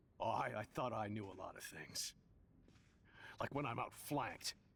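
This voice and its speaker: A cartoonish character voice, raspy and stern in tone. It moves at a moderate pace. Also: man, medium pitch for a man. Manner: gruff, stern.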